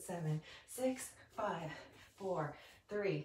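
The clip carries audible room echo and light background noise. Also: woman. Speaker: fitness instructor. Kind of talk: guided yoga and Pilates class, calm step-by-step cueing with breath counts. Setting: home video workout class on a mat. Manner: rhythmic, steady, encouraging, counting down reps; friendly, upbeat, casual. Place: home room. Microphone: camera far.

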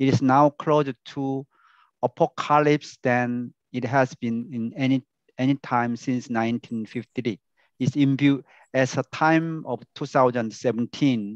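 Against a quiet background with a dry sound and no echo, the voice moves at a very slow pace with fairly even intonation. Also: man. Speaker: professor giving a talk. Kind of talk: lecture.

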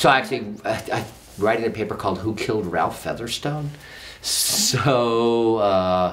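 With an American accent and very wide pitch swings, a man speaks over light background noise. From San Francisco, California. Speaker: history professor. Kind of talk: interview. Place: studio.

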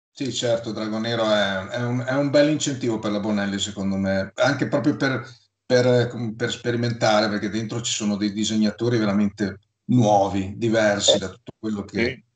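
A man at a moderate pace, fairly low pitch and fairly even intonation, with audible room echo against a quiet background. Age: 50s. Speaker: YouTuber talking about comics. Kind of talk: casual chat. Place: home room. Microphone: video call.

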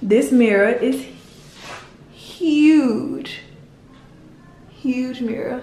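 A woman speaks with high pitch and a dark, mellow tone. Her pace is very slow, and audible room echo surrounds her. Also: ordinary pitch variation.

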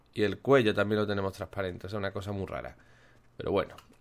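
The tone is animated, and the recording is very clean with a silent background. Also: man. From Málaga, Andalusia, Spain. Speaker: gaming youtuber. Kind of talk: gameplay commentary.

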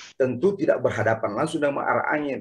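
The background is quiet as a man talks. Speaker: participant; speaker. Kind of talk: online panel discussion. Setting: video call. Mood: thoughtful, explanatory. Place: home room. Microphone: earbuds.

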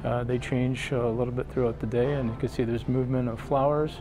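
A man talks while noticeable background noise carries on behind him. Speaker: cruise vlogger. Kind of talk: walking tour commentary. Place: hall. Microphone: phone near.

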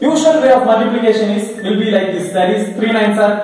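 A man speaks with strong echo around him. Faint music plays in the background. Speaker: maths teacher. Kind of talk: tutorial. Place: classroom.

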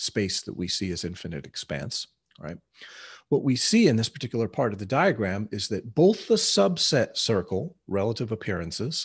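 A somewhat breathy man's voice with very wide pitch swings, at a moderate pace against a quiet background. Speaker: teacher of mysticism. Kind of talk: lecture. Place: home room. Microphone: webcam.

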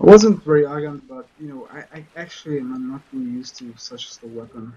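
A man with a non-native accent at a very fast pace, with a fairly high pitch and big swings in loudness. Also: ordinary pitch variation. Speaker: streamer / let's play gamer; streamer, let's play gamer. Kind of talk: casual gameplay commentary. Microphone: headset.

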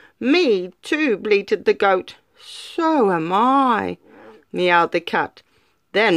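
Quiet background, natural reading voice

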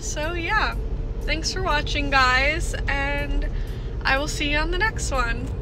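A woman speaks with music in the background. The sound is dry, with no echo. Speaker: vlogger. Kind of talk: casual vlog chat. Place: car. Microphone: phone near.

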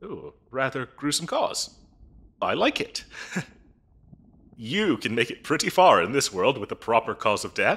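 Using a put-on character voice, a man speaks at a fairly slow pace with long, frequent pauses, a medium pitch, big pitch swings, a fairly bright tone and a slightly husky edge.

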